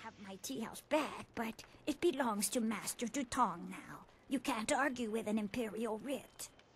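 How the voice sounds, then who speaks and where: In a put-on character voice, the speaker talks at a moderate pace with big swings in loudness. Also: woman, fairly high pitch for a woman. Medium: video game.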